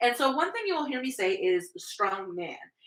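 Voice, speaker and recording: A woman talks at a fairly quick pace in a high pitch, her bright, sharp tone animated and full of very wide pitch swings. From Canada, New Brunswick. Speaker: strongwoman athlete and podcast co-host. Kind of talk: casual chat. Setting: indoors at home, on a couch. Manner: fast.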